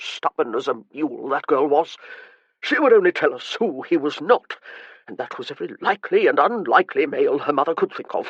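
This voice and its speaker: A man puts on a gruff character voice, high-pitched for a man, talking at a fairly quick pace in a dry, close sound with no echo. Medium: read story. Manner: gruff, impatient, contemptuous.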